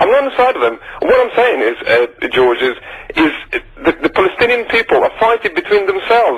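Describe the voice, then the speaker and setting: A man talking at a very fast pace with long, frequent pauses, amid noticeable background noise. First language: not English. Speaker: caller. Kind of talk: heated debate. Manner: halting.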